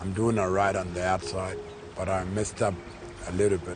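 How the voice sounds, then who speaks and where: With music playing in the background and audible room echo, a man talks at a moderate pace in a fairly low pitch, his intonation fairly even. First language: Warlpiri. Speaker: defendant in court case. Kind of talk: interview testimony.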